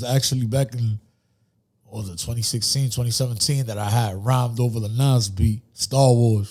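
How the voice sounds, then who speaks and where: A man's medium-pitched, somewhat breathy voice in a dark, mellow tone, fairly quick, with ordinary pitch variation. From New York City, Dominican-American (Dyckman/Uptown). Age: 30s. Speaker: rapper. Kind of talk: casual interview chat.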